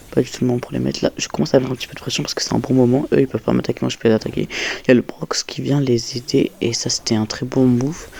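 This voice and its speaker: Soft-spoken and very fast, the voice comes through noticeable background noise. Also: man. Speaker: gaming youtuber. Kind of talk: gameplay commentary voiceover. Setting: home recording late at night. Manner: casual.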